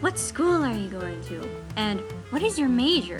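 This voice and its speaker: Music runs in the background. This woman talks at a moderate pace. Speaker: college student. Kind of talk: persuasive speech.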